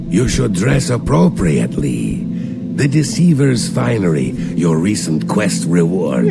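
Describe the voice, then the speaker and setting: Through loud background noise, a man uses a put-on character voice, very deep and low, at a fairly slow pace. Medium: game stream. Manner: calm, measured.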